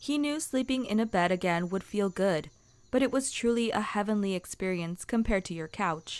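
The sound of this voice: The voice heard here is an unforced reading voice.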